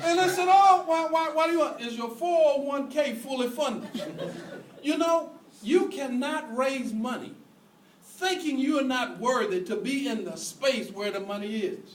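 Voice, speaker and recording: A man's extremely high voice, animated in tone with lively intonation and audible room echo. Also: moderate pace. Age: 60s. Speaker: preacher on fundraising. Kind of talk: sermon.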